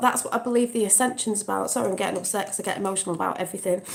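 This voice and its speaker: A woman in an English accent, fairly high in pitch, with ordinary pitch variation. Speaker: vlogger. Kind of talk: casual chat. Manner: emotional, impassioned.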